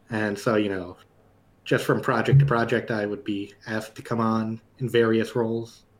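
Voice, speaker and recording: A man with an American accent speaks at a moderate pace. His medium-pitched voice stays flat and monotone. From New York. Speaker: animation director. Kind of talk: casual chat.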